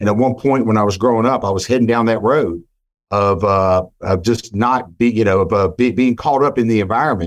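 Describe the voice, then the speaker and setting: With an American accent, a man has a plain, everyday voice at medium pitch, talking fairly quickly with ordinary pitch variation and very even loudness. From West Virginia, McDowell County / Bluefield. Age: 50s. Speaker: car dealership general manager. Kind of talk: interview conversation.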